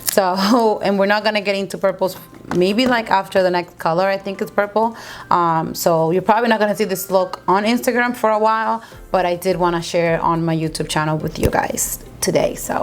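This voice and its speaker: A woman at a fairly quick pace, medium pitch and ordinary pitch variation, with music in the background. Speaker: beauty youtuber. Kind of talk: makeup tutorial. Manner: mumbling; casual, chatty.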